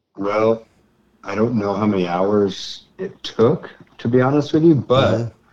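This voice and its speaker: With an American accent, a man speaks in a plain, everyday voice at medium pitch and a moderate pace, using lively intonation. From US West Coast, Ventura, California. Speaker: guitarist and songwriter. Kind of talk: casual chat.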